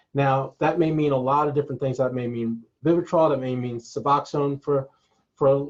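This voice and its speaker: His voice is fairly high in pitch for a man. There is a somewhat breathy quality to it. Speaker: collegiate recovery program staff. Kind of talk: webinar presentation. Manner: fast.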